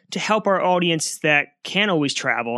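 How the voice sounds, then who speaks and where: Bright and sharp in tone, a man with a New Jersey accent speaks with ordinary pitch variation on a very clean recording with a silent background. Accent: New Jersey American. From New Jersey, US. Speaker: history podcast host. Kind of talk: history narration.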